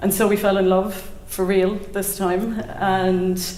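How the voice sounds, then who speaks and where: In a Cork accent, a woman speaks at a medium pitch with monotone, flat intonation. Noticeable background noise and audible room echo surround her voice. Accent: Irish (Cork). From Ireland, County Cork. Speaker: storyteller. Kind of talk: live personal storytelling. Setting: stage with audience.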